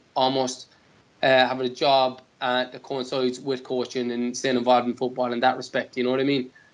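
A man with a Cork accent at a fairly quick pace. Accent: Cork Irish. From Ireland. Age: 20s. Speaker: professional footballer; guest. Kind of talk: casual interview. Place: home room. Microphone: earbuds.

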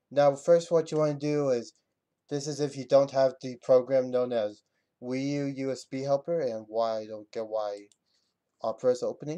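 At a moderate pace, a man speaks with fairly even intonation and a dark, mellow tone over a quiet background. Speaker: video game tutorial maker. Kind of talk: screen-recorded tutorial narration. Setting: home computer mic. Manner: halting, stuttering.

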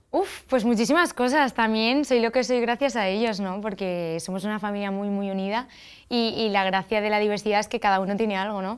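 Fairly quick delivery with ordinary pitch variation against a quiet background. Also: woman, fairly high pitch for a woman. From Spain. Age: 20s. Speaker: festival queen; interview guest. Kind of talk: TV interview. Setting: TV studio. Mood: warm, smiling. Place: studio. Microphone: lapel.

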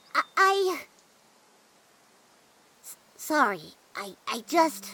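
This is a cartoonish character voice with a high pitch. It moves at a very slow pace. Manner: hesitant, stammering.

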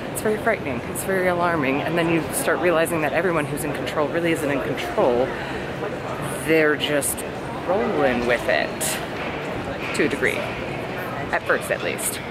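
Loud background noise runs beneath a woman speaking at a fairly quick pace. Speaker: vlogger at a convention. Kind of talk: casual vlog chat. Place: hall. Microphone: phone near.

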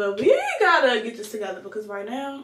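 Against noticeable background noise, a woman speaks at a moderate pace. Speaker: lifestyle vlogger. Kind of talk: casual vlog chat. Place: bathroom. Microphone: phone near.

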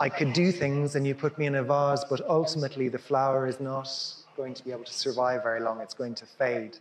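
Audible room echo and light background noise accompany the recording. A man speaks at a medium pitch with monotone, flat intonation. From Ireland. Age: 50s. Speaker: dancer and choreographer. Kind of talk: public conversation. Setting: stage with audience. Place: hall.

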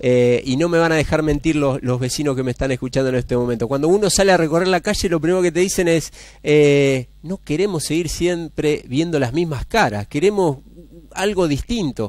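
Against a quiet background, a man with a fairly high pitch talks at a fairly quick pace in a dry sound with no echo. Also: ordinary pitch variation. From Argentina, San Cristóbal, Santa Fe; Santa Fe, Argentina. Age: 40s. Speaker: mayoral candidate; candidate. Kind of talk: TV interview. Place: studio. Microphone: headset.

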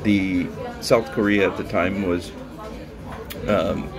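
A man's voice with crowd noise in the background. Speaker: food vlogger. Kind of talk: casual vlog chat. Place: cafe. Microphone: phone near.

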